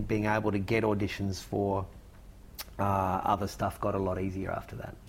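This man talks with an Australian accent, keeping a moderate pace. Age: 40s. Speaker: actor and writer. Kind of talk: interview chat.

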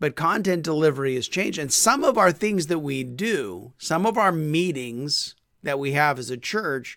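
A man with a plain, everyday voice speaks at a moderate pace and a fairly high pitch. The recording is very clean, with a silent background. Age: 50s. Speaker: podcast host and small group ministry consultant. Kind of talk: teaching talk. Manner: casual, conversational.

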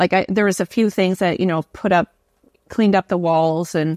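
A woman with a Canadian accent speaks at a fairly quick pace in a plain, everyday voice, medium in pitch with ordinary variation. The recording is very clean with a silent background and a dry, close sound free of echo. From Canada. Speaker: educator and author. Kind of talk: casual interview conversation.

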